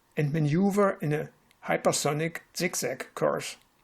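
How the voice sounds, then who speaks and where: Here a man with a German accent talks at a fairly slow pace. His pitch is high and his intonation is lively. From Germany, West Berlin. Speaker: retired physics professor. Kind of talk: prepared presentation. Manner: formal.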